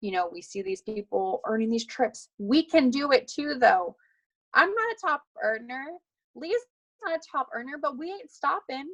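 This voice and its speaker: High-pitched and animated, a woman speaks with very wide pitch swings. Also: dry, close sound with no echo. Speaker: fitness coach. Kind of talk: team call pep talk.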